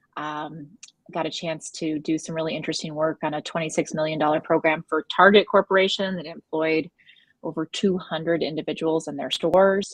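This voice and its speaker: A woman with an unremarkable speaking voice, fairly low in pitch, with fairly even intonation, in a dry, close sound with no echo over a quiet background. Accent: American. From United States. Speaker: wellness consultant. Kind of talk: panel discussion.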